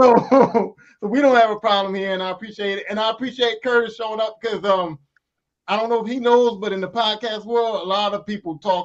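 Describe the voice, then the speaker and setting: Loud and fairly quick, a man speaks at a high pitch. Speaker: podcast co-host. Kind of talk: casual chat.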